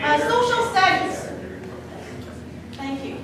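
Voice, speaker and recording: A woman with a Chinese accent, amid noticeable background noise and audible room echo. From China. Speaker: associate dean, teacher educator. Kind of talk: orientation lecture. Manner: interactive, frequent 'okay' fillers.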